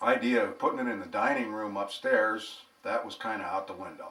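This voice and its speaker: Noticeable background noise sits behind a man speaking at a moderate pace. His tone is relaxed. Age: 60s. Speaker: home bar hobbyist and vlogger. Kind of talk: casual storytelling monologue. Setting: at home. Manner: relaxed, conversational with filler words.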